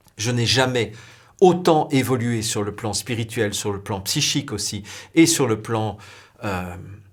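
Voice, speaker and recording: Speaking very slowly in a medium pitch, a somewhat breathy man uses ordinary pitch variation and leaves long, frequent pauses. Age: younger than 60. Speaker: spiritual video blogger. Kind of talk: spiritual talk to camera.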